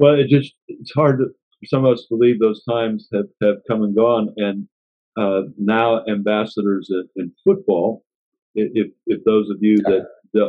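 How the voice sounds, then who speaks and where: In an American accent, this is an ordinary speaking voice delivered at a fairly slow pace with fairly even intonation. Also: man, fairly low pitch for a man. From US. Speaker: podcast host. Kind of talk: interview.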